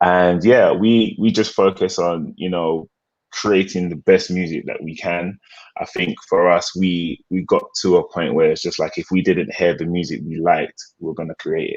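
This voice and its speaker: The speaker has a British accent and talks at a moderate pace. The background is quiet. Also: man. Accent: British accent, kept. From England, London. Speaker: music producer. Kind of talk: interview.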